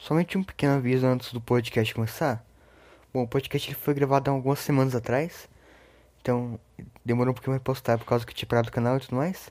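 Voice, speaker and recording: Speaking very fast yet with long, frequent pauses, a man with a medium-pitched voice keeps a fairly even intonation on a very clean recording with a silent background. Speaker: YouTuber podcast host. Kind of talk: recorded announcement; casual chat.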